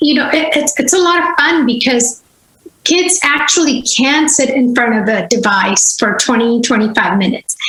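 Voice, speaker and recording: A woman with a Gujarati accent speaks at a high pitch and a moderate pace. Her intonation is lively while her loudness stays very even. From India, Gujarat (Vadodara). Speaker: language teacher and school founder. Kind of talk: podcast interview.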